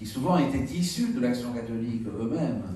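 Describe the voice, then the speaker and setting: A man talks at a fairly slow pace. Audible room echo and noticeable background noise surround his voice. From southern France, Perpignan. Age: 60s. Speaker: bishop. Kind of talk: talk to an association meeting. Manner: halting, many repetitions and fillers.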